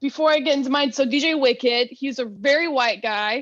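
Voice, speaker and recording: Loud and high-pitched, a woman speaks with an American accent and ordinary pitch variation. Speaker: comedian and DJ. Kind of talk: casual chat. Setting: video call.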